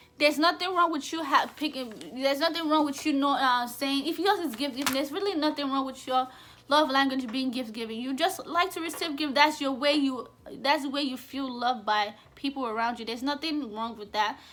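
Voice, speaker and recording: A woman's high voice, with ordinary pitch variation, moves at a fairly quick pace. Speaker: vlogger. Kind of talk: casual monologue to camera. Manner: occasional stutter on camera; rambling, conversational.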